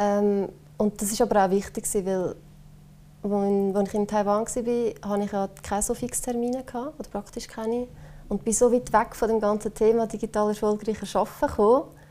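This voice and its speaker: Fairly high in pitch, a woman speaks with a dark, mellow tone, fairly even intonation, and a moderate pace. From Switzerland, Obwalden. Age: 20s. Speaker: company marketing employee, digital nomad. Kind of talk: casual interview.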